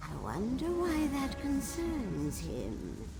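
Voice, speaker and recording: Loud background noise sits behind a put-on character voice speaking at a very slow pace. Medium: game stream. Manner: haughty, solemn.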